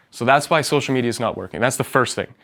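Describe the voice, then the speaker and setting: Medium in pitch, a man speaks on a very clean recording with a silent background. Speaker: real estate marketing speaker. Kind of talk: seminar presentation to live audience. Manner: fast; animated.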